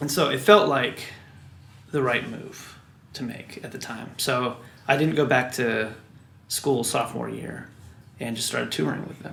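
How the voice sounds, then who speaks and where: A man with an American accent at medium pitch and moderate pace, lively intonation, big swings in loudness, long, frequent pauses, and audible room echo. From US Midwest (Wichita, Kansas). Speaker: record producer and musician. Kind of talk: interview.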